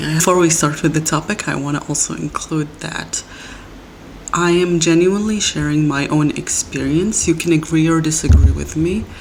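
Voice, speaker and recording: A woman's very deep, low voice at a moderate pace, fairly even in intonation, with noticeable background noise. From Middle East. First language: not English, a Middle Eastern language. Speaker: podcast host. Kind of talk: personal monologue podcast. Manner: halting, with self-corrections.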